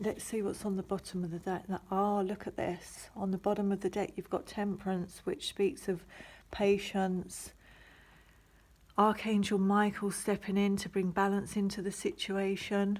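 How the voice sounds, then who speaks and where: On a very clean recording with a silent background, a woman speaks at a medium pitch. Her voice is somewhat breathy, with monotone, flat intonation. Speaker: tarot reader. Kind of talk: tarot reading. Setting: home recording on the floor. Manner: slow.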